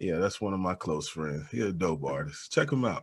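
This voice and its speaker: A man speaks at a moderate pace. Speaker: podcast host. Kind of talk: casual chat. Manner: not animated.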